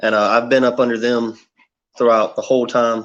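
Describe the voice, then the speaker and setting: This man speaks at a moderate pace in a slight Southern US accent, his intonation monotone and flat. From US South, South Carolina near Myrtle Beach. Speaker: karate fighter. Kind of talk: interview answers. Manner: hesitant, many fillers.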